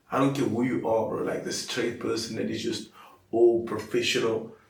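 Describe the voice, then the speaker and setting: Audible room echo surrounds the recording. The man's delivery is very fast. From South Africa, coloured community. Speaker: comedian. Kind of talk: casual chat.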